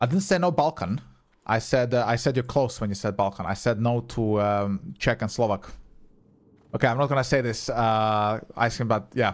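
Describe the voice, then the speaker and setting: Speaking with a Croatian accent, a man keeps a medium pitch, ordinary pitch variation and a moderate pace on a very clean recording with a silent background. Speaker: gaming streamer. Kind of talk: live gameplay stream chat. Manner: casual, swearing, chatty with viewers.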